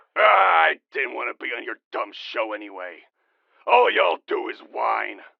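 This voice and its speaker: A raspy, put-on character voice from a man, with big swings in loudness. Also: moderate pace. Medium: audio drama. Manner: rambling, gruff, dismissive.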